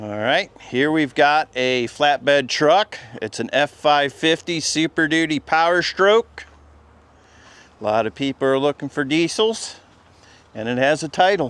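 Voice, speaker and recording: An ordinary speaking voice with lively intonation at a fairly slow pace, the sound dry and close with no echo. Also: man, fairly high pitch for a man. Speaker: YouTuber touring an auction preview. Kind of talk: walkthrough video commentary.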